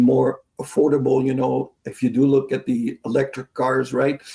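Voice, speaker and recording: A man speaks in a fairly high, somewhat breathy voice with a dark, mellow tone. His pace is moderate and his pitch variation ordinary. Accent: French. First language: French. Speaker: hydraulics sales manager. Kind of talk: interview.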